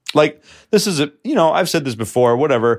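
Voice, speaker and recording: With an American accent and a plain, everyday voice, a man talks fairly quickly using lively intonation. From New York. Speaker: podcast co-host. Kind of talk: casual chat. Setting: host's apartment.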